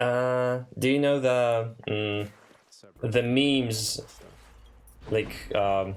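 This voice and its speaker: The speaker, in a Polish accent, goes at a very slow pace with long, frequent pauses and fairly even intonation. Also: man, medium pitch for a man. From Poland. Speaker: streamer. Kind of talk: casual chat. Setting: live stream.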